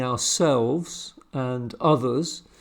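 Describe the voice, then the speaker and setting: The speaker is a man. He has a British accent. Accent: British English, Received Pronunciation. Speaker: amateur church historian, video host. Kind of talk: solo talk, informal lecture. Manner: hesitant, many fillers.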